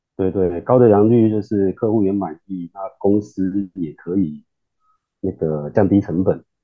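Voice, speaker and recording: A man's unremarkable speaking voice, fairly low in pitch, fairly slow and fairly even in intonation. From Taiwan, Kaohsiung. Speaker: semiconductor engineer. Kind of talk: casual interview.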